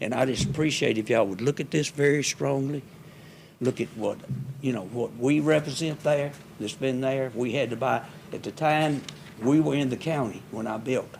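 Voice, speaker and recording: With a Mississippi accent, a man talks with ordinary pitch variation. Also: medium pitch for a man, moderate pace. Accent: Mississippi Southern US. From US South, Hernando, Mississippi. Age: 80s+. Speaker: resident speaking at public hearing. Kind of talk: public comment at city meeting. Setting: city hall board room meeting.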